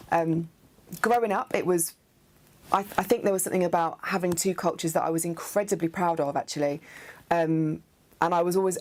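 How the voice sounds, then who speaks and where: A woman with an English Midlands accent talks at a fairly quick pace in a fairly low pitch, with fairly even intonation. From English Midlands (Nuneaton, near Coventry). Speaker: theatre artist. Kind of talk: interview monologue about identity. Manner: hesitant, many fillers.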